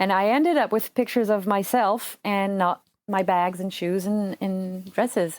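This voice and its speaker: Speaking in a French accent, a woman keeps a moderate pace and a medium pitch with ordinary pitch variation. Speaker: surgical assistant and translator. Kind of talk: casual chat. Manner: halting.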